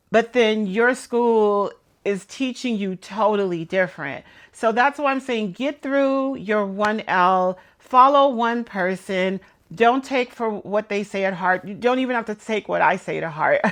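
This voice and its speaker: Over a quiet background, a woman with an American accent speaks fairly slowly at a fairly high pitch, with ordinary pitch variation. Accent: New York, comes out sometimes. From New York. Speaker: law student vlogger. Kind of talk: casual talk to camera. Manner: hesitant, many fillers.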